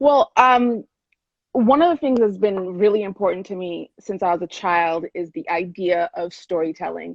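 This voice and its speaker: A woman's medium-pitched voice with lively intonation, big swings in loudness and a moderate pace. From Oklahoma, US. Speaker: author and mental health advocate. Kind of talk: interview. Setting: video call. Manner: halting with fillers.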